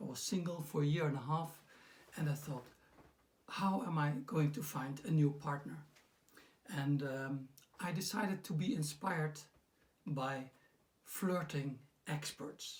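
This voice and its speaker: Pausing long and often, a man talks at a fairly slow pace in a fairly high, somewhat breathy voice with ordinary pitch variation. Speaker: personal development coach. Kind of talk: casual talk to camera. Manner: hesitant, many fillers.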